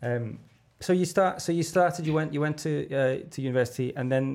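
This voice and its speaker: A man with a Liverpool accent, fairly high pitch, ordinary pitch variation and a fairly quick pace. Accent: Liverpool (Scouse). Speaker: podcast host. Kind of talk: casual interview chat.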